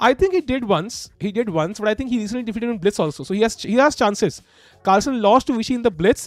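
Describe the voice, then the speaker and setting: Over a very clean recording with a silent background, a high-pitched man speaks at a very fast pace with an animated tone and lively intonation. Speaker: chess streamer. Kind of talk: live stream commentary.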